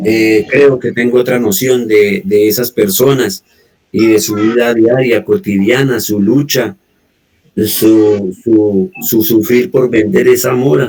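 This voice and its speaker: Music runs behind the speech. A man talks very slowly over it. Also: medium pitch for a man, ordinary pitch variation. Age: old. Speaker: guest in community conversation. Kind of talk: casual chat.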